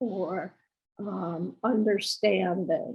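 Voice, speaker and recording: A woman's somewhat breathy voice. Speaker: person living with Alzheimer's. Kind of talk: interview. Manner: halting, many pauses and fillers.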